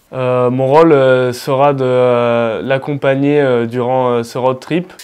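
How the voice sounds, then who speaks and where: A man talks very slowly in a medium pitch. His intonation is monotone and flat. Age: 20s. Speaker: business student, trip partner. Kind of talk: interview. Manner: halting, many fillers.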